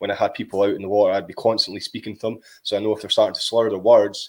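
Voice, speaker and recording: On a very clean recording with a silent background, a man talks at a very fast pace with a Scottish accent. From Scotland. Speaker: podcaster, cold water swimming guide. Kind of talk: casual interview chat.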